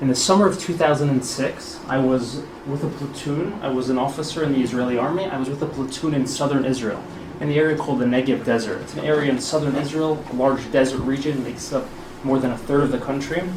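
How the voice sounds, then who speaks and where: Over noticeable background noise and audible room echo, a man with an American accent talks very fast at a fairly high pitch with fairly even intonation. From US Northeast (Brooklyn, New York). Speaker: spokesperson and former army officer. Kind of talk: public talk. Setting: hall with live audience.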